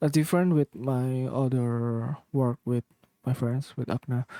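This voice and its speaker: The tone is dark and mellow, with a non-native accent and ordinary pitch variation. The sound is dry and close, with no echo. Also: man. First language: not English. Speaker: music producer. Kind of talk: tutorial. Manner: halting.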